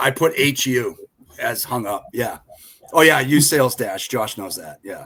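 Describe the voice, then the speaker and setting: A man with a Boston accent and a medium-pitched voice talks at a fairly slow pace. His intonation is lively and his loudness swings widely. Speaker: freight broker agent. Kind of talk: podcast panel chat.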